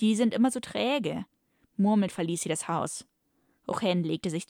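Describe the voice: Plain reading aloud over a quiet background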